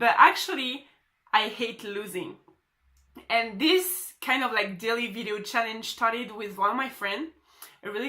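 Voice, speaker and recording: The speaker uses lively intonation and a moderate pace with a French accent. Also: woman. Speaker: social media marketer. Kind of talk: motivational vlog. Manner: animated.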